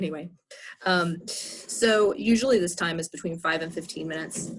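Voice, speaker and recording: Soft-spoken, a woman talks at a fairly low pitch with fairly even intonation. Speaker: professor. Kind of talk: lecture. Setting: outdoors.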